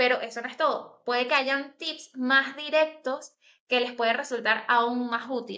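A woman's raised, projected voice in a Venezuelan accent, high-pitched and bright and sharp, at a fairly slow pace with fairly even intonation over a quiet background. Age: 20s. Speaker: graphic designer; interview guest. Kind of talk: interview. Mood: cheerful, smiling. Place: home room. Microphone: video call.

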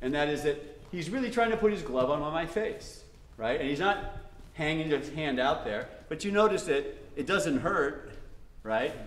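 A man speaks at a fairly quick pace with very wide pitch swings, audible room echo, and light background noise. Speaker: martial arts coach. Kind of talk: instructional explanation. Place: gym.

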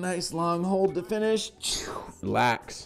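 Clear music plays in the background as a man talks with ordinary pitch variation. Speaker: fitness trainer. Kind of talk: workout tutorial instruction. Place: gym.

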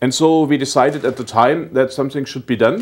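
Over a quiet background, a man talks with a German accent. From southwestern Germany. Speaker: German-American association representative. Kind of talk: TV interview. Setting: TV studio. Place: studio. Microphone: lapel.

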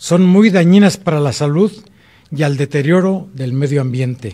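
A man's dark, mellow voice with lively intonation at a fairly slow pace, against a quiet background. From Celaya, Guanajuato, Mexico; Guanajuato, Mexico. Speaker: mayor and mayoral candidate; mayor, candidate. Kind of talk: political debate. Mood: firm, formal. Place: studio. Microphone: podium.

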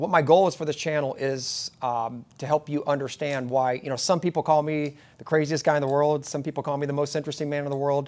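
At a fairly quick pace, a man talks with fairly even intonation. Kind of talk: casual vlog chat. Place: office.

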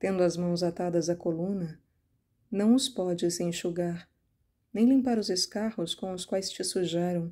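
A woman's fairly low, dark, mellow voice in a solemn tone, with fairly even intonation at a fairly slow pace, on a very clean recording with a silent background. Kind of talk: fervent prayer, devotional reading aloud in first person. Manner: pleading, impassioned, tender, earnest; slow, reverent, solemn.

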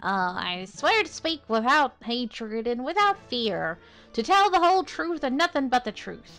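Someone speaks in a put-on character voice at a moderate pace, with very wide pitch swings and faint music in the background. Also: woman, high pitch for a woman.

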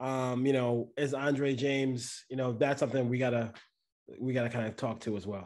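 In a quiet setting, a man talks at a moderate pace with a medium pitch and fairly even intonation. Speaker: podcast host. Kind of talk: sports podcast discussion. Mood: casual, analytical. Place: home room. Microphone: video call.

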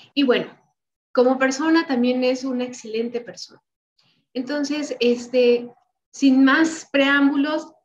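A woman speaks with a high voice at a very slow pace. Her intonation stays fairly even over light background noise. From Mexico. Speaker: event coordinator introducing speaker; speaker. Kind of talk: speaker introduction. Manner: halting. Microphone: video call.

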